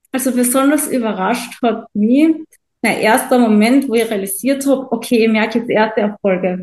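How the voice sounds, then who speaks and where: Using a plain, everyday voice, a woman talks at a moderate pace with a fairly high pitch and ordinary pitch variation. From Austria, Carinthia. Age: 20s. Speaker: coaching client. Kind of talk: testimonial interview.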